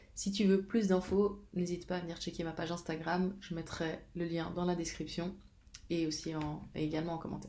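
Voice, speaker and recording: Amid audible room echo, a woman's somewhat breathy, dark and mellow voice stays monotone and flat at a fairly low pitch. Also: moderate pace. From Switzerland, Geneva. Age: 30s. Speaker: fitness coach. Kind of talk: casual vlog talk. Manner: halting, many fillers.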